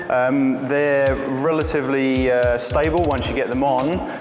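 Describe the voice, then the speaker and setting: A man speaks with an English accent. Music plays in the background, and audible room echo fills the sound. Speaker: video producer giving a workshop. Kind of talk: informal workshop talk. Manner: hesitant, many fillers.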